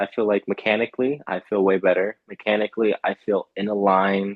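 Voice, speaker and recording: A man with an American accent, fairly low-pitched, at a fairly quick pace. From California. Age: 20s. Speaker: baseball pitcher. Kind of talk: testimonial interview. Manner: halting.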